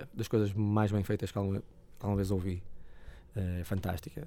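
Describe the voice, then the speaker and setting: Moderate pace, fairly even intonation and a fairly low pitch from a man. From northern Portugal, Porto. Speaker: blues musician. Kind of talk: casual interview.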